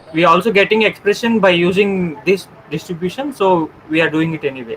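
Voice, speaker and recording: A man talks in a high voice with ordinary pitch variation. Noticeable background noise runs behind him. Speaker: undergraduate student. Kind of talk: classroom question.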